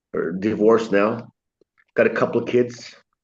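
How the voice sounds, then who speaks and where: A man talks with monotone, flat intonation. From Sweden. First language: Swedish. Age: 60s. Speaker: chiropractor. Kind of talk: interview. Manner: halting.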